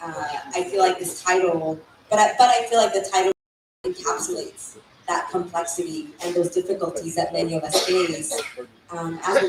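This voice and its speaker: A woman with a Spanish accent talks at a moderate pace, leaving long, frequent pauses. Audible room echo surrounds her voice. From Mexico, raised in San Antonio, Texas. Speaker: author. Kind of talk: panel interview. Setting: stage with audience.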